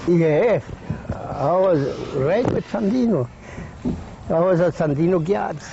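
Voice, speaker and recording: Over noticeable background noise, a man with a Miskito Coast accent talks at a very slow pace with a high pitch, lively intonation, very even loudness and long, frequent pauses. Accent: Miskito coast Creole-tinged English. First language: Miskito and Spanish. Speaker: elderly former guard, interviewee. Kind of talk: interview, oral history. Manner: halting non-native English.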